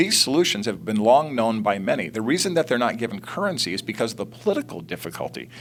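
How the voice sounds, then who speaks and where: At a very fast pace with hardly any pauses, a man speaks at medium pitch. His intonation is lively. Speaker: think tank CEO. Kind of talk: political TV interview debate.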